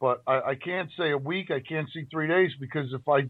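This man has a normal speaking voice, fairly high in pitch, with ordinary pitch variation. He talks at a moderate pace. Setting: phone call.

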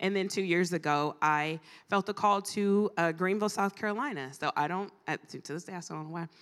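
A woman with an unremarkable speaking voice talks at a fairly quick pace and medium pitch, with ordinary pitch variation. The recording is very clean, with a silent background. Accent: American. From Ohio, US Midwest. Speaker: guest preacher. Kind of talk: sermon. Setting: church conference with audience.

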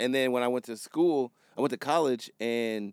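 A man's unremarkable speaking voice at medium pitch with ordinary pitch variation, a very clean recording with a silent background, and a dry, close sound with no echo. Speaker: music producer and photographer, podcast co-host. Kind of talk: casual chat. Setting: studio.

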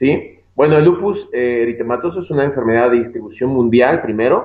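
Speaking with a Mexican accent, a man holds a medium pitch with ordinary pitch variation. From Mexico, Guadalajara. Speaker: physician. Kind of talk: interview.

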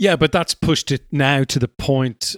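A man with an Irish accent speaks at a fairly slow pace, the sound dry and close with no echo. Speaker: podcast host. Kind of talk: interview. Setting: remote call.

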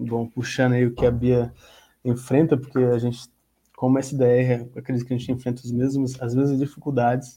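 A man speaks at a moderate pace and medium pitch in an unremarkable speaking voice. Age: 20s. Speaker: sales representative. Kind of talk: casual chat.

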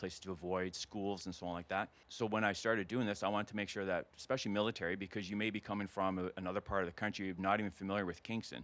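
Fairly low in pitch, a man with a Canadian accent speaks very fast with hardly any pauses and fairly even intonation. The recording is very clean, with a silent background. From Alberta prairies, rural. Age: 50s. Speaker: retired soldier turned realtor. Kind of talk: casual interview chat.

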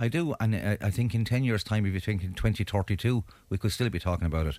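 In an Irish accent, the speaker moves at a fairly quick pace with ordinary pitch variation, on a very clean recording with a silent background. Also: man. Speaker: community activist. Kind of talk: panel discussion. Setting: studio. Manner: animated.

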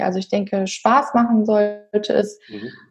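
The voice has a dark, mellow tone, is somewhat breathy, and keeps a fairly even intonation. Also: woman. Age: 30s. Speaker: physiotherapist and health coach. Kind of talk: casual interview.

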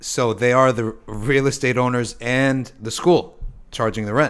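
A man with an American accent, a normal speaking voice, medium pitch and ordinary pitch variation, on a very clean recording with a silent background. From US East Coast. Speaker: podcast host. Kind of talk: casual chat.

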